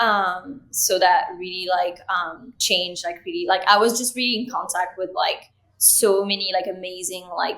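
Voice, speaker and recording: A woman with a French accent and a bright, sharp tone, at a moderate pace with fairly even intonation and hardly any pauses. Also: medium pitch for a woman. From France. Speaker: creative director and cinematographer. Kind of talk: interview.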